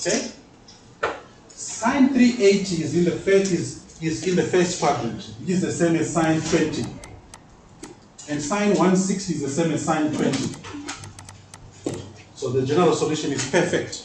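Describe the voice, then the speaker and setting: This loud man speaks at a high pitch with lively intonation and a moderate pace, pausing long and often, with audible room echo and noticeable background noise. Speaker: mathematics teacher. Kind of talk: classroom lecture.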